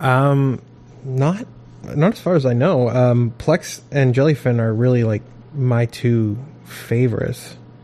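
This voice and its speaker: Here is a man with an unremarkable speaking voice and an American accent. His pitch is medium with ordinary variation, and his pace is fairly slow. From Maine, US. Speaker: podcast co-host. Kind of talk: casual chat.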